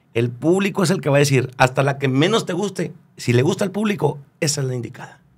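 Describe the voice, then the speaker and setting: Somewhat breathy, a man speaks at a fairly quick pace in a fairly high pitch with ordinary pitch variation. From northern Mexico, Chihuahua (Delicias area); Chihuahua, Mexico. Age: 30s. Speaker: regional Mexican singer; guest. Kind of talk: casual interview chat. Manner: halting, many repetitions and fillers. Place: studio. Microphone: studio mic.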